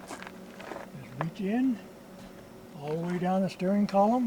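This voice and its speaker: Over noticeable background noise, a man's high-pitched voice shows ordinary pitch variation. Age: 80s+. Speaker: retired mechanic, DIY car repair video maker. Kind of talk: tutorial. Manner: casual, with frequent hesitations.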